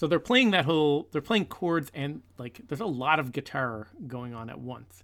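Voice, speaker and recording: With a plain, everyday voice, a man talks at a moderate pace with lively intonation, big swings in loudness and hardly any pauses. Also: fairly high pitch for a man. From Newfoundland, Canada. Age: 40s. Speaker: podcast co-host, music fan. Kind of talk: casual chat.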